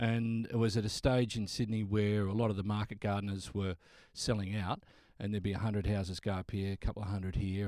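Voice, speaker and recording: The recording is very clean, with a silent background. A man speaks with an Australian accent at a fairly low pitch. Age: 50s. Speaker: radio announcer. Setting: studio. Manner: cheerful, warm.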